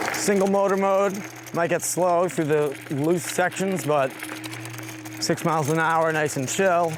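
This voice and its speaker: With noticeable background noise behind him, a man with a high pitch speaks at a fairly slow pace in a relaxed tone, keeping very even loudness and ordinary pitch variation. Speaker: scooter reviewer. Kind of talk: ride-along vlog commentary. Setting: outdoors on woodland trails while riding. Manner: casual, relaxed.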